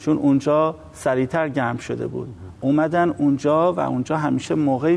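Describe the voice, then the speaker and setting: Over noticeable background noise, a man with a fairly high pitch talks with fairly even intonation. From Iran, Tehran. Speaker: environmental activist and researcher. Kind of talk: TV interview.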